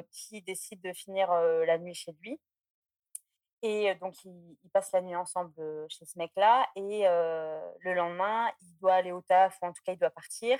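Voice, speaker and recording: The pace is very slow and the intonation fairly even, with big swings in loudness. The sound is dry and close, with no echo. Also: woman, medium pitch for a woman. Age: 20s. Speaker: podcast listener calling in. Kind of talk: anecdote telling on call-in show.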